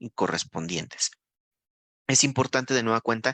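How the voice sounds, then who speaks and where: Speaking at a moderate pace, a man has a medium pitch and a bright, sharp tone. The background is quiet, and the sound is dry and close with no echo. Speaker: nursing instructor. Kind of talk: lecture.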